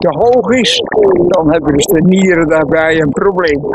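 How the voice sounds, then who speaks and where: A man's voice comes through dry with no echo, while loud background noise fills the recording. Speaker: amateur athlete. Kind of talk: interview answer. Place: open country. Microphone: phone near.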